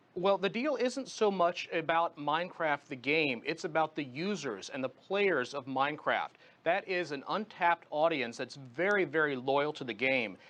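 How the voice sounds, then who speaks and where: A man with a plain, everyday voice speaks at a fairly high pitch and a moderate pace, using lively intonation and hardly any pauses. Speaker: tech journalist and radio host, guest commentator on a news channel. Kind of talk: television news interview answer.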